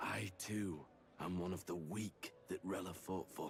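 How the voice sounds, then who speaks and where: A man puts on a character voice, very deep and raspy. He speaks at a fairly slow pace over clear background noise. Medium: video game. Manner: formal, despairing.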